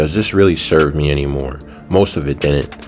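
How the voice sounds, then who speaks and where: The speaker has an American accent and talks at a fairly quick pace with fairly even intonation. Music plays in the background. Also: man. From USA. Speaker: travel vlogger. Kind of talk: vlog narration.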